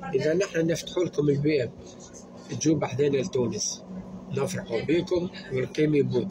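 With a Tunisian accent, a man of fairly high pitch speaks at a fairly slow pace with very even loudness and ordinary pitch variation, amid noticeable background noise. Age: young. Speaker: social media vlogger. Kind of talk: angry rant to camera. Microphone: phone near.

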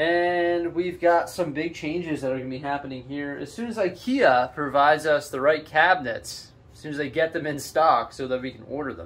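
A man talks at a fairly quick pace with hardly any pauses, ordinary pitch variation and big swings in loudness. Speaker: LEGO hobby vlogger. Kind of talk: casual vlog chat. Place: home room. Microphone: phone near.

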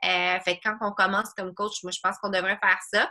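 In a Quebec accent, a woman speaks at a moderate pace in a bright, sharp tone with monotone, flat intonation over a quiet background. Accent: Québécois French. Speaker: online fitness coach. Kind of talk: group coaching video call. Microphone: video call.

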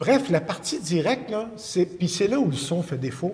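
A man talks at a fairly quick pace in a high-pitched voice. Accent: Quebec. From Quebec. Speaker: video production expert; interview guest. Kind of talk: casual chat. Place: studio.

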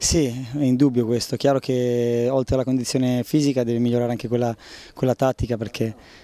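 A man talks at a very fast pace in a monotone, flat way. The sound is dry, with no echo. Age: 30s. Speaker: footballer. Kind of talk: interview. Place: street. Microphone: handheld.

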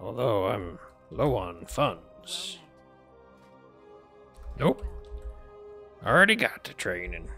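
Put-on character voice from a man, fairly low in pitch, at a very slow pace with long, frequent pauses over clear music in the background. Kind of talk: video game roleplay. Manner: rambling.

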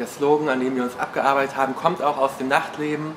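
Light background noise sits under a man's voice. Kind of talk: interview answer. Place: office. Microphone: lapel.

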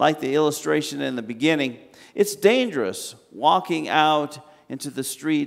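Speaking at a fairly slow pace, a man with a fairly high pitch shows vocal fry.

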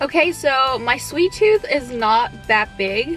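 A woman's voice, dry with no echo, with faint music in the background. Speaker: vlogger. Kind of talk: casual vlog chat. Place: car.

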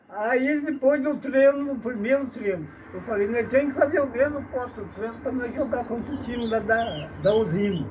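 Over noticeable background noise, a man with an extremely high pitch speaks at a moderate pace with ordinary pitch variation and hardly any pauses. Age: old. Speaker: retired amateur footballer; storyteller. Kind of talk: storytelling interview. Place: farm machine. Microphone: phone near.

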